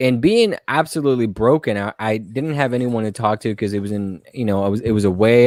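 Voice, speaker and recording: This is a man talking. He has a Spanish accent. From Colombia. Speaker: stand-up comedian. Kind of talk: casual podcast interview. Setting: live-streamed podcast.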